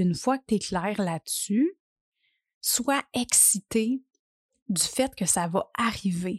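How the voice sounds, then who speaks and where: Here a woman speaks in a Quebec accent. Her pitch is medium and her intonation lively. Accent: Québécois French. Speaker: podcast host and life coach. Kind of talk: solo podcast monologue. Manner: casual, hesitant with fillers.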